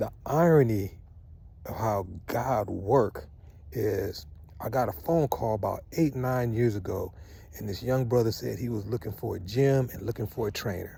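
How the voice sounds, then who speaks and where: A man with a dark, mellow tone and somewhat breathy delivery speaks at medium pitch and a moderate pace, using ordinary pitch variation. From US West Coast, Southeast San Diego. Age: 60s. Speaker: vlogger, Morehouse alumnus. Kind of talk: casual monologue vlog. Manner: conversational, emphatic.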